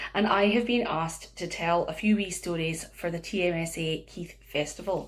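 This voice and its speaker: A woman speaks with a Scottish accent. Her pitch sits in the medium range. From northeast Scotland. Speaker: storyteller. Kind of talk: children's storytelling.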